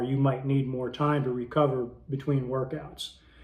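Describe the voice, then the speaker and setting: Somewhat breathy and fairly high in pitch, a man speaks in a monotone, flat intonation at a moderate pace, with audible room echo. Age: 60s. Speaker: fitness YouTuber. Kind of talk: tutorial. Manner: casual with frequent filler words.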